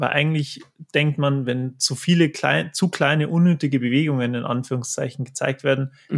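On a very clean recording with a silent background, a man speaks in a normal speaking voice, fairly high in pitch, at a moderate pace with fairly even intonation. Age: 20s. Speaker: manga artist and tattoo artist. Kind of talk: interview.

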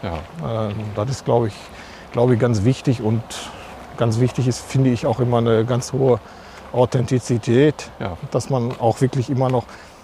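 A man speaks at a moderate pace with medium pitch and fairly even intonation. He leaves long, frequent pauses amid noticeable background noise. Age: 50s. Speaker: church administration head. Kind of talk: interview.

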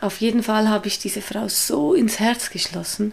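Noticeable background noise accompanies a woman with a Swiss German accent. Her pitch is fairly high with ordinary variation, and her pace is fairly slow. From Switzerland. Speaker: street evangelist. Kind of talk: interview.

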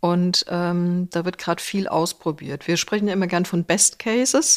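In a very clean recording with a silent background and a dry, close sound with no echo, a woman uses an unremarkable speaking voice, fairly low in pitch with fairly even intonation. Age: 60s. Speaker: HR executive and professor. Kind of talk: interview.

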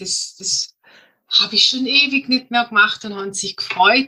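Bright and sharp in tone, a woman's high voice moves at a moderate pace with ordinary pitch variation. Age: 50s. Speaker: health consultant. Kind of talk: interview.

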